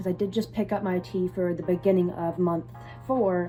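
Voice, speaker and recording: A woman's voice comes across somewhat breathy, with a dark, mellow tone. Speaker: vlogger. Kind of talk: personal vlog.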